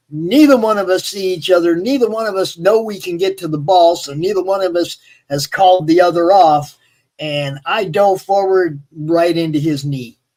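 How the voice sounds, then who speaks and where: A high-pitched man with an American accent at a moderate pace. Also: ordinary pitch variation. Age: 60s. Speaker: live stream host. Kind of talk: casual chat. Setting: live stream. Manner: animated.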